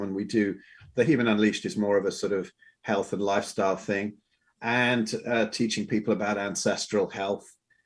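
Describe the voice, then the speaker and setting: Fairly quick and fairly even in intonation, a man with a fairly low pitch is heard in a very clean recording with a silent background. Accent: English. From England. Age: 60s. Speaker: health and wellness coach. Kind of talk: podcast interview. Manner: halting, with many fillers and repeats.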